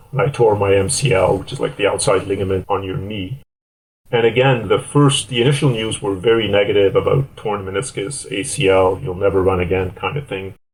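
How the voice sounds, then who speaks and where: Speaking at a fairly quick pace, a man uses a fairly low pitch with ordinary variation and a somewhat breathy sound. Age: 60s. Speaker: endurance athlete. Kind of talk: interview.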